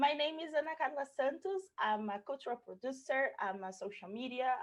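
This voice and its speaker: Her intonation is lively. The woman speaks at a moderate pace in a Portuguese accent. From Brazil. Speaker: cultural producer. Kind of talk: pre-recorded presentation.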